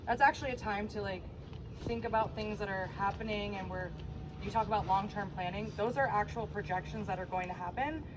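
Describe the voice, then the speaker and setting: Over noticeable background noise and audible room echo, a woman speaks at a fairly quick pace. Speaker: HOA board member. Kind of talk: community meeting presentation. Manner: loud.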